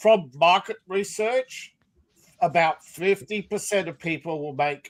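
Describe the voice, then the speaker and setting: Fairly slowly, a man speaks with lively intonation. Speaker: podcast panelist. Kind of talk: casual chat.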